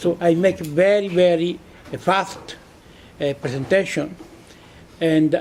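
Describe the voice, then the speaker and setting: The speaker talks at a moderate pace with an Italian accent. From Italy. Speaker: physicist. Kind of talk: conference lecture. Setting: conference hall with audience. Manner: halting, many hesitations.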